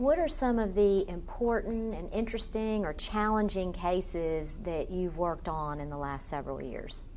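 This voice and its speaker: A woman talks in a plain, everyday voice at a medium pitch. Her pace is moderate and her intonation lively. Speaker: interviewer. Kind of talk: oral history interview.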